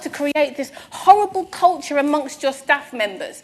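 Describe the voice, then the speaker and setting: Pitch variation is ordinary. The voice belongs to a woman. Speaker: employment law specialist, conference speaker. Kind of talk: conference talk. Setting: stage with audience. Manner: fast.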